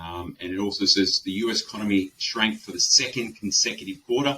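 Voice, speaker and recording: With an Australian accent, a man speaks at a fairly quick pace in a bright, sharp tone. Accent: thick Australian. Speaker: webinar host, insolvency firm director. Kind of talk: webinar presentation. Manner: hesitant with many fillers.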